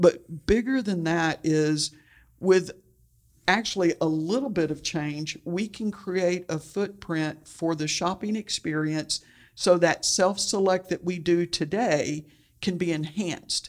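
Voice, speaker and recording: A woman's ordinary speaking voice with an American accent, fairly low-pitched with ordinary pitch variation, at a fairly slow pace on a very clean recording with a silent background. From Texas, Houston. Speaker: church outreach director. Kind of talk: interview.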